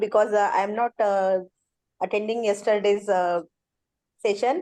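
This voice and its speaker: Woman with an Indian accent, fairly high pitch, dark, mellow tone, fairly even intonation, moderate pace with long, frequent pauses, quiet background. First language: Indian language, not English. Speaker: education lecturer, course participant. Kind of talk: self-introduction in online class. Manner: halting with many fillers.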